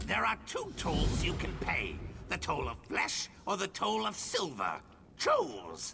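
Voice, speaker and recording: Using a put-on character voice, a man talks at a fairly slow pace over clear background noise. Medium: machinima. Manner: imperious, squawking.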